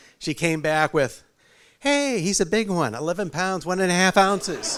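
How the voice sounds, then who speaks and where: A man speaks with a strong New England accent. The recording is very clean, with a silent background. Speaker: father of the groom. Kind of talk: wedding speech. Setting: wedding reception with audience. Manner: halting.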